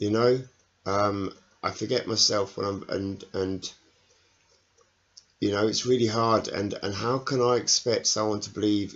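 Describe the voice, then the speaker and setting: Quiet and mumbling, a man talks fairly slowly at a fairly low pitch with flat, monotone intonation. He leaves long, frequent pauses. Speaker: network marketing salesperson vlogger. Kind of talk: personal video diary. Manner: halting, hesitant with fillers; quiet, mumbling.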